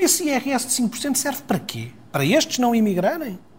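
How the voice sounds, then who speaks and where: Lively intonation from a man at a moderate pace, with noticeable background noise. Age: 50s. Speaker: politician. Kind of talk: political interview.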